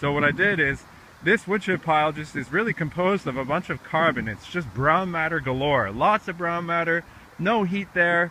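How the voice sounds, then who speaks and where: Over noticeable background noise, a loud, high-pitched man with an American accent speaks at a moderate pace with ordinary pitch variation. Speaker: gardener and video blogger. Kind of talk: casual outdoor vlog tutorial. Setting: outdoors in a community garden. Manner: casual, halting with fillers.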